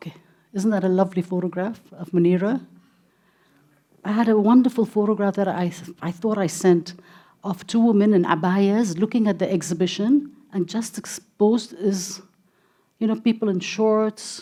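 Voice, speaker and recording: A woman with a slight Indian accent, medium pitch and a dark, mellow tone, moderate pace with long, frequent pauses, fairly even intonation, on a very clean recording with a silent background. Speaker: gallery director and art patron. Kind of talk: interview. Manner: halting.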